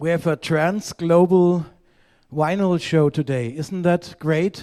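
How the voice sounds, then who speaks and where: A high-pitched man with a German accent and a dark, mellow tone, talking at a very slow pace with fairly even intonation, on a very clean, silent-background recording that is dry and close with no echo. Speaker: vinyl collector guest. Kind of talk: live-streamed casual chat. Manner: halting.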